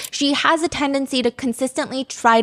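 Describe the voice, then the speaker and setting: In a dry, close recording with no echo, a woman speaks in an animated tone. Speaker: true crime podcast host. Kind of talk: casual storytelling chat.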